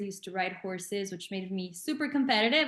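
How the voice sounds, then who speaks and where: This woman speaks with a Spanish accent. Her pace is very fast. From Mexico. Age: 20s. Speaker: entrepreneur. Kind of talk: interview.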